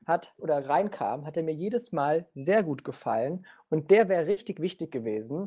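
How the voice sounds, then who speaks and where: Against a quiet background, a man talks at a moderate pace with a high pitch. His tone is dark and mellow, and his intonation is lively. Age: 20s. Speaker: political science student and football fan. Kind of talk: casual football discussion.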